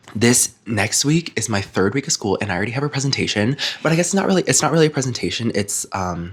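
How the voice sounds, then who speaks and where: At a very fast pace and with hardly any pauses, a man speaks at medium pitch. His voice is somewhat breathy, with very wide pitch swings. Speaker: book youtuber. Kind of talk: casual chat to camera. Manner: casual, chatty with fillers.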